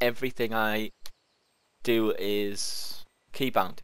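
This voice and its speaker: A man speaks with fairly even intonation. The sound is dry and close, with no echo. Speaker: gaming video creator. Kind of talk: let's play gameplay commentary. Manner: casual, unscripted with hesitations.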